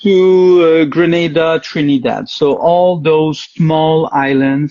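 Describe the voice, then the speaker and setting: Someone with a Quebec accent speaks at a very slow pace. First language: French. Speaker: dating show guest. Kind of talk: casual interview. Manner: halting.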